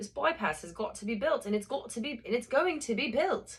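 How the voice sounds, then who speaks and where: An American accent is heard. The delivery moves at a fairly quick pace. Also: woman. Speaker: amateur audiobook reader. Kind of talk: reading aloud. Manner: casual, rambling asides.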